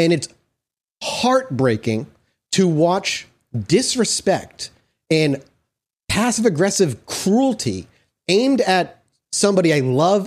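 Over a very clean recording with a silent background, a man speaks at a very slow pace. His pitch swings very widely. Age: 30s. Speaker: podcast host. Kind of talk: casual chat.

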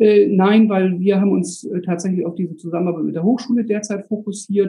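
This man talks at a fairly quick pace. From Bremen, northern Germany. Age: 40s. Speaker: school administrator and landlord. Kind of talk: casual chat.

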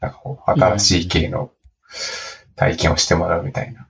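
A man is speaking. His intonation is lively. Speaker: startup founder and CEO. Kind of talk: casual interview chat.

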